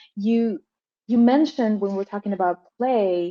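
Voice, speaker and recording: In a Colombian accent, a woman with a fairly high pitch and a dark, mellow tone speaks in a dry, close sound with no echo. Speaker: professor and translator. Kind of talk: panel discussion.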